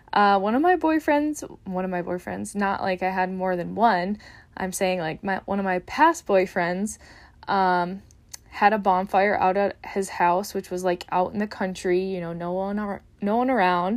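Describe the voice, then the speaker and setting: A woman with an American accent has an unremarkable speaking voice at medium pitch and a moderate pace, with ordinary pitch variation. The recording is very clean, with a silent background. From Upper Peninsula of Michigan, US. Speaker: dietitian and podcast host. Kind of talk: casual solo podcast talk. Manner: casual with frequent fillers and laughs.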